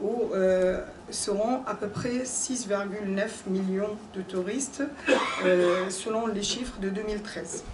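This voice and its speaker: Speaking very slowly with a non-native accent and fairly even intonation, a woman is heard with audible room echo and noticeable background noise. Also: medium pitch for a woman. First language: not French (speaking French). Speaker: pilgrimage organizer, conference speaker. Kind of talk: conference talk. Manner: halting, many hesitations.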